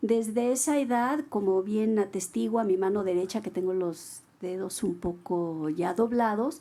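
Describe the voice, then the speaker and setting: Lively in intonation yet fairly slow, a woman speaks in a medium pitch with a dark, mellow tone and hardly any pauses. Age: 60s. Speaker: writer. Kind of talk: book presentation dialogue.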